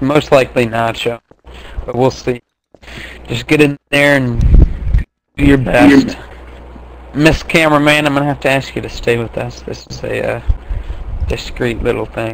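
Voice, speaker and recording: A man's raspy put-on character voice at medium pitch, moderate in pace, with long, frequent pauses. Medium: machinima. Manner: brisk, matter-of-fact.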